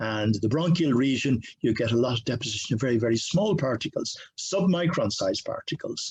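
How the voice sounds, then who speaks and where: A man speaks at a fairly quick pace with lively intonation and hardly any pauses. His voice is somewhat breathy. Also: medium pitch for a man. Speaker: professor. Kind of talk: lecture. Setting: video call. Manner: halting, with many fillers; fast.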